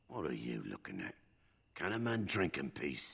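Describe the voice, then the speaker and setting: A man puts on a raspy character voice with a very deep, low pitch. He speaks at a moderate pace with very wide pitch swings. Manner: gruff, hostile.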